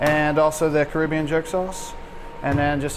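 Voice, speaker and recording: A man speaks at a fairly high pitch in monotone, flat intonation. Audible room echo and noticeable background noise surround him. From Louisiana, Chalmette (New Orleans area). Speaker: chef. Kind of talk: casual interview on camera.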